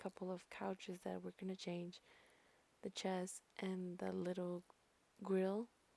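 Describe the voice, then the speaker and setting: The voice is soft-spoken and whispering. It moves at a fairly slow pace. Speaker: gaming YouTuber. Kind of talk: voiceover narration of a speed build. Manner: soft, whispering; insecure, hesitant.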